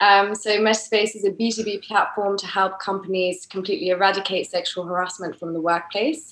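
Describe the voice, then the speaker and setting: Against noticeable background noise, a woman with an English accent keeps a moderate pace and fairly even intonation. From England, grew up in France. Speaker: tech startup co-founder and CTO. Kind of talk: interview podcast.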